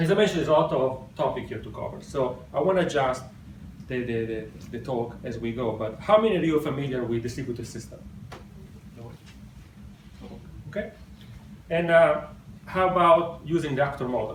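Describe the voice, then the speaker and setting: A man with an Italian accent, lively intonation and a fairly quick pace, with long, frequent pauses and audible room echo. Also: fairly high pitch for a man, big swings in loudness. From Italy. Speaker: software developer, conference speaker. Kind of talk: technical talk. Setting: stage with audience.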